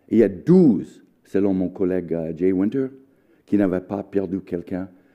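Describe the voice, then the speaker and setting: With a very deep, low pitch and an American accent, a man speaks at a moderate pace, leaving long, frequent pauses. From United States. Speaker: history professor. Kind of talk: lecture. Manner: halting.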